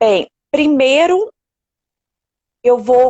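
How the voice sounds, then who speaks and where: Her voice high in pitch, a woman speaks with lively intonation in a dry, close sound with no echo. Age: 40s. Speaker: elderly caregiver. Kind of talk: live stream interview. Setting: online live stream.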